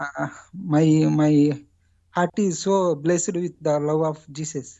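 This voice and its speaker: A woman with an Indian accent, a very deep, low pitch, fairly even intonation and a very slow pace. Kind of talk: testimony on call-in show. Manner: halting, many fillers.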